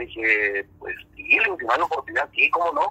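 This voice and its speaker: A man is heard up close in a dry recording without any echo. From northern Mexico. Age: 40s. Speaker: musician. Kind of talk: casual chat. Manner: halting.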